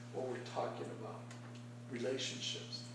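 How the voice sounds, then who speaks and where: Over light background noise, this man's voice comes through with audible room echo. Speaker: speaker. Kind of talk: prepared speech. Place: meeting room. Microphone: camera far.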